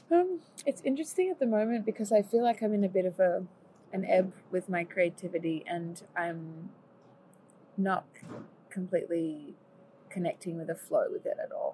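With an Australian accent, this dark, mellow, somewhat breathy voice moves at a moderate pace with ordinary pitch variation and long, frequent pauses. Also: woman, medium pitch for a woman. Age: 20s. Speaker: singer and musician. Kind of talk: casual chat. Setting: at home over lunch.

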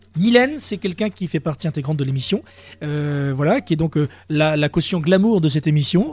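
Fairly quick speech from a man with a fairly high pitch and ordinary pitch variation. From Dordogne, France. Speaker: web radio host. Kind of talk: casual chat. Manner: animated.

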